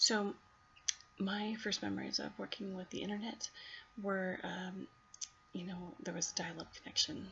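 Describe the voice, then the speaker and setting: Quiet, the voice moves at a moderate pace. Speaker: college student. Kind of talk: class video reflection. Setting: at home at night.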